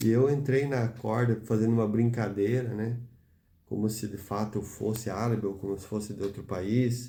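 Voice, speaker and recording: In a room with audible echo, a man speaks in a monotone, flat way, his dark, mellow tone somewhat breathy. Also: medium pitch for a man, moderate pace. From Brazil. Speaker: preacher. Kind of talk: sermon.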